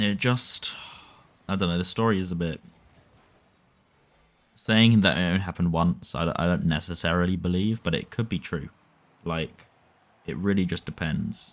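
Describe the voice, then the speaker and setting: Speaking in a British accent with a very deep, low pitch, a man leaves long, frequent pauses and uses ordinary pitch variation. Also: moderate pace, very clean recording, silent background. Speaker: online story reader. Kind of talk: casual commentary.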